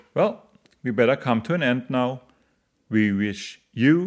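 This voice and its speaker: A man's medium-pitched voice with a German accent and lively intonation. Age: 40s. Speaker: podcast contributor, father. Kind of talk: scripted narration.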